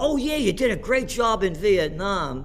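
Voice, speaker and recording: Music can be heard in the background. Over it, a man talks with an American accent. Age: 70s. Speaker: economic commentator. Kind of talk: interview. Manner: animated.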